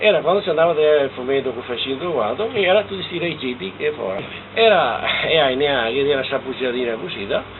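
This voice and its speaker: A man with a Venetian accent talks very fast at a fairly high pitch with lively intonation. Noticeable background noise is present. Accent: Trevisan Venetian dialect. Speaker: farmer recalling rural life. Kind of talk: oral history interview. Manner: halting, repeats syllables.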